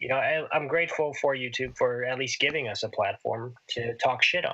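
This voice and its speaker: Mumbling, a man talks at a moderate pace. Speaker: podcast co-host. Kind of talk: casual chat.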